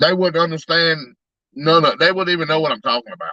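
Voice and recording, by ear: Fairly high-pitched for a man, this male voice has a bright, sharp tone and ordinary pitch variation, heard in a dry, close sound with no echo. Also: fairly quick pace.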